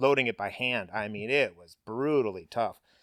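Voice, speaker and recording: A man with an American accent and a medium pitch speaks in an animated tone with ordinary pitch variation, the sound dry and close with no echo on a very clean recording with a silent background. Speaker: business owner. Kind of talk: interview. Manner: casual, animated.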